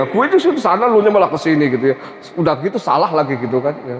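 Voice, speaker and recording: There is noticeable background noise as a man speaks at a fairly high pitch. His voice shows very wide pitch swings. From Central Java (Tegal). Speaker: Islamic preacher. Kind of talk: religious lecture. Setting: mosque.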